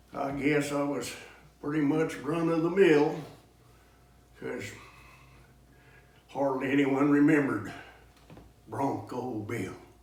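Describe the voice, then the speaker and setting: With an American accent, a man talks at a fairly slow pace in a fairly high pitch, leaving long, frequent pauses, with ordinary pitch variation and noticeable background noise. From Kansas. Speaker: cowboy poet. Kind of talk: poetry reading.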